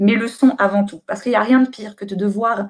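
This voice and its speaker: A woman speaks in a somewhat breathy voice. Her pace is fairly quick. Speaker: booktuber and bookseller giving a talk. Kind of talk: online conference presentation. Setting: live webcam stream from home. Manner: hesitant with many euh.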